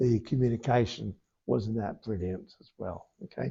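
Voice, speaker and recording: The man's voice is somewhat breathy, and its pitch varies in an ordinary way. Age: 70s. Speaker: spiritualist medium. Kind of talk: mediumship demonstration. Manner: halting.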